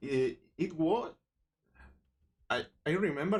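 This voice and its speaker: The speaker is a man with a Spanish accent. His pitch varies in an ordinary way. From Spain, Barcelona. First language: Spanish or Catalan. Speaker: miniature sculpting streamer. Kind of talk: live stream tutorial. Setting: live stream. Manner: halting, many false starts.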